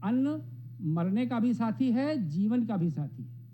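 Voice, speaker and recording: A man speaks in a dark, mellow tone with very wide pitch swings. There is audible room echo. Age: 70s. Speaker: professor. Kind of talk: speech.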